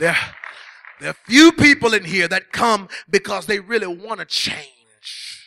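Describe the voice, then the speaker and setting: A man speaks in a raised, projected voice at a high pitch, his tone animated and stern. His delivery is fairly slow, and the sound is dry and close with no echo. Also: lively intonation. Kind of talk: sermon, preacher in full flow, with call-and-response energy. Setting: church. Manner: animated, forceful, building through repeated parallel phrases; stern, confrontational, hammering home blunt warnings.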